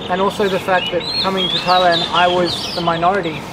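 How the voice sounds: A man talks at a fairly quick pace in a high voice with little pitch movement. Clear background noise can be heard behind him.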